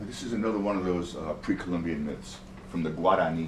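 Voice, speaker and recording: With an American accent, a man speaks in a very deep, low pitch with ordinary pitch variation and audible room echo. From New York City (Bronx). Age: 60s. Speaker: storyteller. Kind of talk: storytelling.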